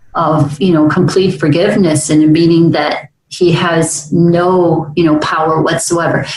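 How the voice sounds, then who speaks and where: A woman's monotone, flat voice at a fairly slow pace, with very even loudness, hardly any pauses and audible room echo. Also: fairly low pitch for a woman. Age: 60s. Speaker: talk radio host. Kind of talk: casual interview chat. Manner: halting, many fillers.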